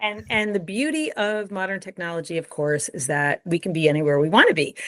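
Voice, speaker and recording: A woman has an unremarkable speaking voice at a fairly low pitch. She talks at a fairly quick pace with lively intonation. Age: 60s. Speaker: brain optimization coach. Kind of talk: interview.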